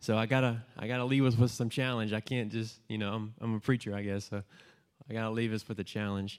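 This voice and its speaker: A man talks at a very fast pace in a monotone, flat intonation. His pitch is medium. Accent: American. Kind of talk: testimony. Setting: church gathering with audience.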